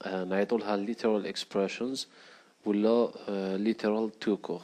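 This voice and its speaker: Dark, mellow tone from a man at a fairly low pitch and a moderate pace. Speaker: programming instructor. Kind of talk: tutorial screencast narration.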